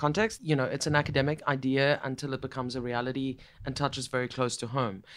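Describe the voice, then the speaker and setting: The voice has an Afrikaans South African accent, captured in a very clean recording with a silent background. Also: man. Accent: Afrikaans-tinged South African English. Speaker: podcast host. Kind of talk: casual interview chat.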